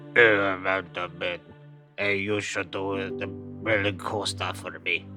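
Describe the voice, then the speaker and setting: Over clear background music, a man uses a put-on character voice with a fairly low pitch at a fairly slow pace. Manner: cheerfully casual.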